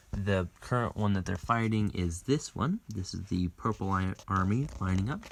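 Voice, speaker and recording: A man talks quietly at a moderate pace, his pitch fairly low with ordinary variation and a somewhat breathy sound. The recording is very clean, and the background is silent. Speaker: board game channel host. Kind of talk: gameplay commentary. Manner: lowered voice, quiet.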